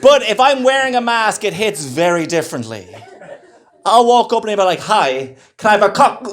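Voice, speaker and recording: Over noticeable background noise, the speaker talks at a fairly quick pace with lively intonation. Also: man, high pitch for a man. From Ireland. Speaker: stand-up comedian. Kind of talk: stand-up comedy set. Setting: live comedy club. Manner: stammering, with pauses.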